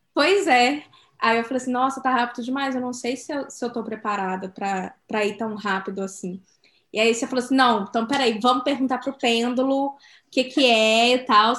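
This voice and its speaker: The background is quiet. The pace is moderate. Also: woman, high pitch for a woman, ordinary pitch variation. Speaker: podcast co-host. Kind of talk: casual chat.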